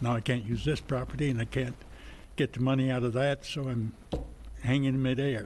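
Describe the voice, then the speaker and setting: A man's medium-pitched, monotone voice at a fairly quick pace, broken by long, frequent pauses. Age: 80s+. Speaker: respondent at code enforcement hearing. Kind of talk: testimony.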